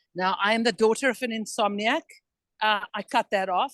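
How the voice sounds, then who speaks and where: It is a woman with a normal speaking voice at a medium pitch and a moderate pace, with ordinary pitch variation. The sound is dry and close with no echo, over a quiet background. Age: 60s. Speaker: participant in wellness call. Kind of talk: casual chat. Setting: video call from an airport. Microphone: poor sound quality.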